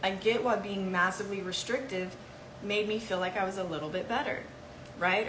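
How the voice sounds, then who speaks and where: Against noticeable background noise and audible room echo, a woman talks at a fairly quick pace with a medium pitch and ordinary pitch variation. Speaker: health educator. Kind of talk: live Q&A session. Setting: livestream. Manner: fast.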